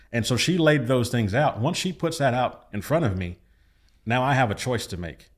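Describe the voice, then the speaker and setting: Using a normal speaking voice, a man delivers his words at a moderate pace, his intonation lively. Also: medium pitch for a man, very clean recording, silent background. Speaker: pastor. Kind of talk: casual chat.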